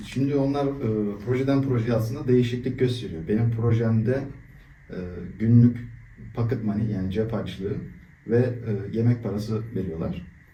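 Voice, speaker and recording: A dark, mellow, somewhat breathy tone at a moderate pace, with ordinary pitch variation and audible room echo. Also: man, medium pitch for a man. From Turkey, Istanbul. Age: 20s. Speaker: volunteer, engineer. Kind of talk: interview. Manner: hesitant, many fillers.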